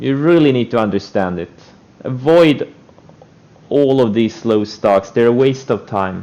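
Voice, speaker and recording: The speech moves at a fairly slow pace with long, frequent pauses and ordinary pitch variation, over noticeable background noise. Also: man, medium pitch for a man. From Estonia. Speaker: stock trader streamer. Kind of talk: live stream commentary.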